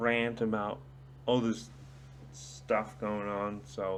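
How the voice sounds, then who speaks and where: Lively intonation runs through this voice. The speaker is a man. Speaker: small youtuber giving opinions. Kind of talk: casual rant to camera. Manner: slurred, drunken-sounding speech; hesitant, many fillers.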